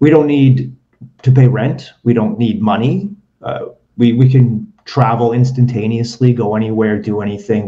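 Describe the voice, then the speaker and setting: With an ordinary speaking voice, a man speaks at a moderate pace and medium pitch. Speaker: podcast host. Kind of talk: casual interview. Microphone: webcam mic, broken microphone.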